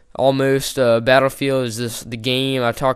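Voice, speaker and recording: At a moderate pace and medium pitch, a man speaks in a very clean recording with a silent background. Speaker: gaming YouTuber. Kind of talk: gameplay commentary. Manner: loud; casual, many fillers.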